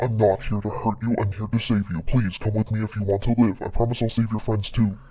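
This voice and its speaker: A man's put-on character voice, fairly low in pitch, at a very fast pace. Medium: audio drama. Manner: calm, matter-of-fact.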